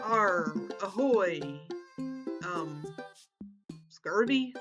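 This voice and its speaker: This is a put-on character voice at a fairly high pitch. Faint music plays in the background. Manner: playful, mock.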